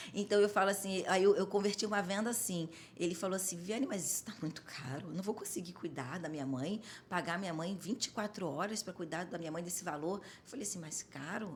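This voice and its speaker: Animated in tone, a woman talks at a fairly quick pace. Her pitch is medium. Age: 40s. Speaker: home care business owner. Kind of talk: podcast interview.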